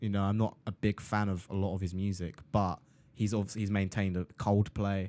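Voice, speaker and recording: Flat and monotone, a man with an English accent speaks at a fairly low pitch and moderate pace. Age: 20s. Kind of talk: casual chat.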